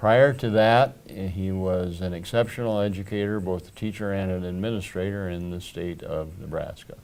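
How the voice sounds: Low-pitched and slightly mellow, a man talks at a moderate pace with ordinary pitch variation and audible room echo.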